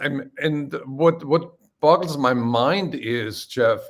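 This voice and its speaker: A man with a German accent at a very slow pace, his pitch varying in an ordinary way. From Austria. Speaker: live stream host. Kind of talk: live stream interview.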